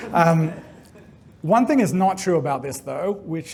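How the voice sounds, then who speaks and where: With an Australian accent, this man speaks at a fairly high pitch. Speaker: game developer. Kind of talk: conference talk.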